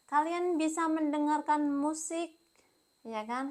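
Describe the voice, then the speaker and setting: A woman at a moderate pace. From Indonesia, Kediri (East Java). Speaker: English teacher. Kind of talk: tutorial. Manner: casual, conversational.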